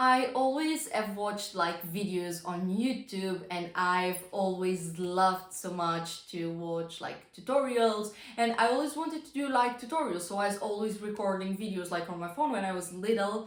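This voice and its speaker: A woman at medium pitch with a non-native accent, lively intonation and a moderate pace, amid noticeable background noise and audible room echo. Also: hardly any pauses. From non-English-speaking country. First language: not English. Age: young. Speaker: vlogger. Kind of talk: casual talk to camera. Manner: halting.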